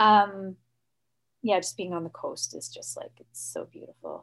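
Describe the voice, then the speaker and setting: Medium-pitched woman's voice with a Canadian accent. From Ontario, Canada. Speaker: folk musician. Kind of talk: interview. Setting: video call.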